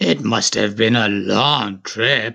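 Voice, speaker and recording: Using a raspy put-on character voice, a man speaks with fairly low pitch and ordinary pitch variation. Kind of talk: bedtime story. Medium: read story.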